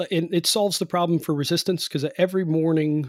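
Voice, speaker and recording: The recording is very clean, with a silent background. A man with an American accent speaks at a fairly high pitch. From Cleveland, Ohio, US Midwest. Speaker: home energy performance contractor and author. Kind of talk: interview. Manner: hesitant, many fillers and repeats.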